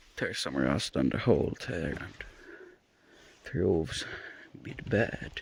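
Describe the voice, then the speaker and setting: Amid noticeable background noise, the speaker goes at a fairly slow pace with long, frequent pauses, the pitch swinging very widely and the loudness swinging greatly. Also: man, very deep, low pitch for a man. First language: not English. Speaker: car hobbyist YouTuber. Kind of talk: casual vlog walkthrough. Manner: improvised, hesitant.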